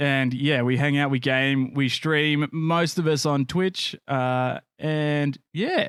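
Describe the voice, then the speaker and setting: A man with an Australian accent, fairly high-pitched and fairly even in intonation, at a very slow pace on a very clean recording with a silent background. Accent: Australian, nasal. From Australia, Canberra area. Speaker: podcast host and streamer. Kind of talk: casual chat.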